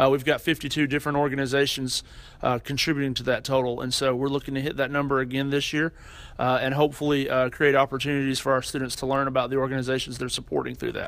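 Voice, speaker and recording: A man with an American accent speaks very fast in a fairly high pitch. His intonation is monotone and flat. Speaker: university student affairs administrator. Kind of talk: interview.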